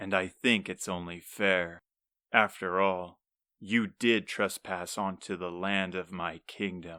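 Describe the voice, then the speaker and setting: A man puts on a character voice, very deep and low, with monotone, flat intonation. He speaks at a fairly slow pace, and the sound is dry and close with no echo. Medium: read story. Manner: imperious.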